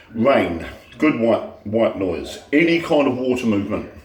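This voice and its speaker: There is audible room echo around this man. His pitch swings very widely. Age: 60s. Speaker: teacher sharing health tips. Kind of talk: casual vlog monologue. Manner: halting, many fillers and repetitions.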